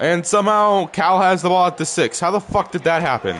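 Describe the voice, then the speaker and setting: A man speaks in an animated tone. Noticeable background noise runs underneath. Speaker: gaming YouTuber. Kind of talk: gameplay commentary.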